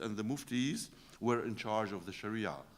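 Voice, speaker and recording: A man is speaking. He has an Arabic accent. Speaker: professor. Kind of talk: lecture. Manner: halting, many fillers.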